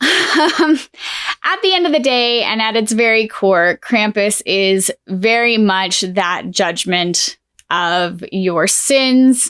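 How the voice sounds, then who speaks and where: A woman speaks very slowly in a fairly high voice with lively intonation. Her loudness stays very even. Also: very clean recording, silent background. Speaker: paranormal and storytime YouTuber. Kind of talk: casual talk to camera, storytime.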